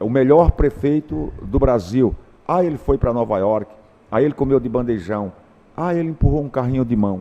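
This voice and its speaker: Lively in intonation, a man with a plain, everyday voice speaks at medium pitch and a moderate pace. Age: 60s. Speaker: teacher. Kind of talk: interview.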